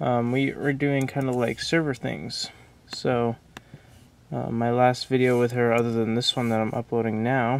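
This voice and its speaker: The speech moves at a moderate pace with ordinary pitch variation. The sound is dry with no echo. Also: man. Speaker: vlogger. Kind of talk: casual vlog chat. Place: home room. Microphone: phone near.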